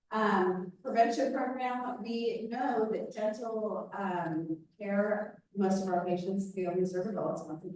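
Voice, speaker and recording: A woman speaks with hardly any pauses amid audible room echo. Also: medium pitch for a woman, ordinary pitch variation, fairly slow pace. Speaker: nonprofit dental clinic director. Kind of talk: presentation to a club meeting. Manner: loud.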